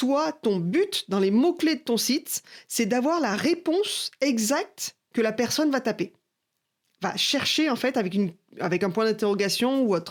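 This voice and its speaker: A woman's fairly high voice with very wide pitch swings, at a fairly slow pace, in a very clean recording with a silent background. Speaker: marketing coach. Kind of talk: tutorial.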